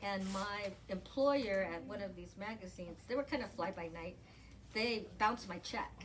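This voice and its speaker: This woman's voice sits at a medium pitch with ordinary pitch variation, moving at a moderate pace amid audible room echo. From Southern California, Pasadena area. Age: 60s. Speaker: novelist. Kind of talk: author interview.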